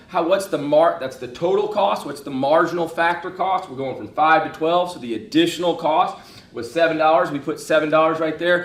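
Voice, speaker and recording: Animated in tone, a man speaks at a high pitch with ordinary variation. Noticeable background noise and audible room echo surround him. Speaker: economics teacher. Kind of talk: lecture. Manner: fast.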